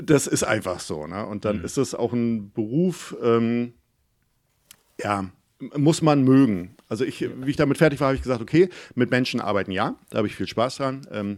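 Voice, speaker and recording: Recorded very cleanly against a silent background, a man with a Mecklenburg accent talks at a moderate pace with lively intonation and a medium pitch. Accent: Mecklenburg regional dialect. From Mecklenburg, northeastern Germany (near Güstrow). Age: 40s. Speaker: photographer and YouTuber. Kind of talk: casual interview.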